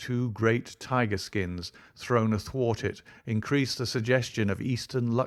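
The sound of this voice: The reading is done in an unforced voice.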